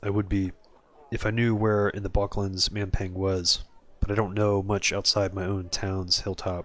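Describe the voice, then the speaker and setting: A man puts on a gravelly character voice, fairly low in pitch, speaking at a moderate pace in a flat monotone. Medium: game stream. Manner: terse, wry.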